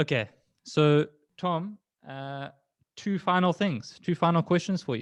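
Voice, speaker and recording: Speaking with an American accent, a man uses a high pitch and ordinary pitch variation at a fairly slow pace with long, frequent pauses, recorded with a dry, close sound with no echo against a quiet background. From South Africa. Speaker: freelancer and interview host. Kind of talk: interview.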